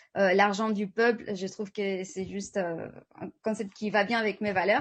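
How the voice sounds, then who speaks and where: Over a quiet background, a woman talks at a medium pitch and a fairly slow pace. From Spain. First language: Spanish (speaking French). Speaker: network marketing presenter. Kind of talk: sales pitch. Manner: halting, many fillers and repetitions.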